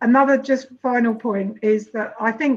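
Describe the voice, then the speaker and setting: With a British accent, a woman speaks at a moderate pace in a high pitch with ordinary pitch variation. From UK. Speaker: social entrepreneur; panelist. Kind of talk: panel discussion. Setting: video call from eco village. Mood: calm, reflective. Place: home room. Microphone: video call.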